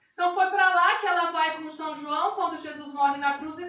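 Audible room echo surrounds this woman's voice. Her intonation stays fairly even. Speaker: live stream host. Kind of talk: live stream talk and religious introduction. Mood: warm, devotional. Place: kitchen.

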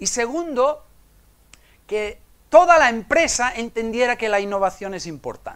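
The speaker talks at a fairly slow pace with lively intonation and big swings in loudness against a quiet background. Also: man, extremely high pitch for a man. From Menorca, Spain; Spain. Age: 50s. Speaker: innovation consultant and conference speaker; conference speaker. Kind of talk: conference talk. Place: hall.

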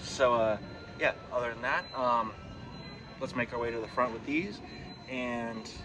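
Over clear music in the background, a man talks at a moderate pace with fairly even intonation. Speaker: vlogger. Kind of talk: casual vlog chat. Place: shop. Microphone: phone near.

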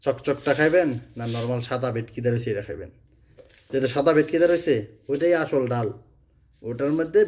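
This man has a fairly high pitch with ordinary pitch variation and an ordinary speaking voice. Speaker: vlogger. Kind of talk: casual talk to camera, consumer warning.

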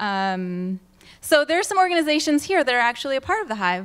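A woman's voice at a moderate pace. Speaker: presenter. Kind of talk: conference talk. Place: hall.

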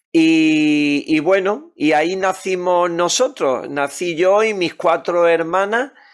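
Speaking at a very slow pace with hardly any pauses, a man with a high voice keeps a very even loudness against a quiet background. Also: ordinary pitch variation. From Málaga, southern Spain (born in Tangier). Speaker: pastor. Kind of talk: interview. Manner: animated. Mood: calm, warm. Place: home room. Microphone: studio mic.

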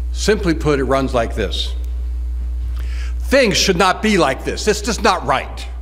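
The man talks at a moderate speed. Behind his voice, music plays. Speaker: conference presenter. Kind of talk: lecture. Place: hall. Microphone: podium.

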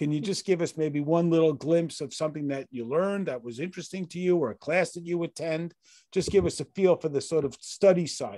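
At a fairly quick pace with hardly any pauses, a man speaks in a dark, mellow tone at a fairly high pitch with ordinary pitch variation and big swings in loudness. The sound is dry with no echo, and the background is quiet. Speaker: online class host. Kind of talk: casual interview. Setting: video call. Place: home room. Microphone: video call.

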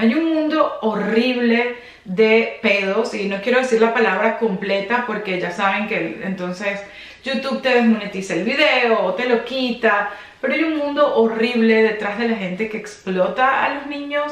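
A woman speaks at a fairly slow pace with ordinary pitch variation. Room echo is audible. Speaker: fashion vlogger. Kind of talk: casual vlog commentary. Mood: serious, indignant. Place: home room.

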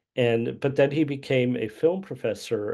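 Against a quiet background, a man speaks at a moderate pace with a dark, mellow tone and ordinary pitch variation. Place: home room. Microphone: video call.

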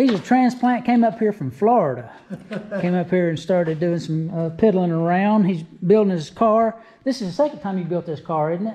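A man speaks at a moderate pace with a high pitch. His intonation is lively. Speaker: car show video host. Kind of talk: casual talk to camera. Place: garage. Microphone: phone near.

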